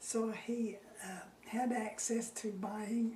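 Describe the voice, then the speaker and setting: Noticeable background noise and audible room echo accompany a woman speaking with a Utah accent. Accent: Utah American. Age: 80s+. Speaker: retired teacher interviewed about local history. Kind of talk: oral history interview. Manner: halting.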